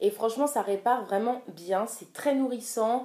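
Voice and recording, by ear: At a moderate pace, a woman speaks at a fairly high pitch with ordinary pitch variation and a dark, mellow tone.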